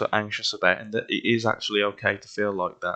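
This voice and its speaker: Using a West Midlands accent, a man talks at a fairly quick pace, his pitch fairly low and his intonation fairly even. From West Midlands, England. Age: 20s. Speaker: vlogger sharing health experience. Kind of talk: personal testimony monologue. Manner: hesitant, with fillers and repetitions.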